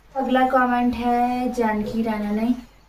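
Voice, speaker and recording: A woman speaks over noticeable background noise. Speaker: vlogger. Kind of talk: casual Q&A chat reading viewer comments. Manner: soft-spoken.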